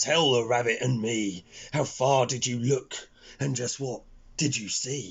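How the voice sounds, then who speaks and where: Doing a put-on character voice, a man sounds growling, raspy and gruff at a medium pitch, keeping a moderate pace broken by long, frequent pauses. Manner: growling, gruff.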